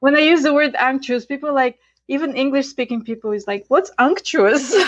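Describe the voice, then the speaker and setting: Fairly quick and high-pitched, a woman speaks with a Bulgarian accent. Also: ordinary pitch variation. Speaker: Ayurvedic chef and educator. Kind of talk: interview. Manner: hesitant with fillers.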